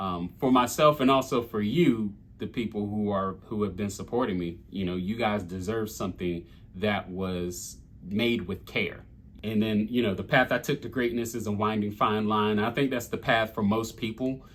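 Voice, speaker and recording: A man with a Southern US accent speaks at a moderate pace, his fairly low pitch moving with ordinary variation. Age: 40s. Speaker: rapper. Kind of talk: lyric breakdown monologue. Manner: casual with many fillers.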